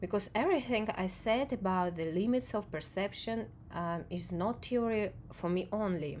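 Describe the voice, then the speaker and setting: With a non-native accent, a woman of medium pitch speaks at a fairly slow pace and uses lively intonation. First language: not English. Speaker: video essayist on perception and emotion. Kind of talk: reflective monologue to camera. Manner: halting, with frequent fillers.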